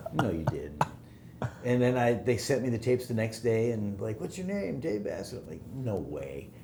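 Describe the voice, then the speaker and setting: A man speaks at a moderate pace in a medium pitch, his voice swinging very widely up and down, with audible echo in the room. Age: 60s. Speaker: music mixer and producer. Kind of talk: casual interview chat.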